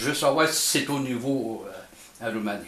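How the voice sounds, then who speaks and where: A man speaks with a Quebec accent. Audible room echo and noticeable background noise surround his voice. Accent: Québécois French. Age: 70s. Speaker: amateur experimenter, YouTuber. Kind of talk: casual explanatory monologue. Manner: halting, hesitant.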